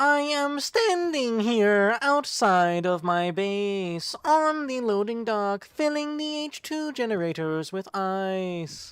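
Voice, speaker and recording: In a put-on character voice with a fairly high pitch, the speaker goes at a very slow pace with hardly any pauses. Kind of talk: newscaster delivery. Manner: cheesy, overly formal.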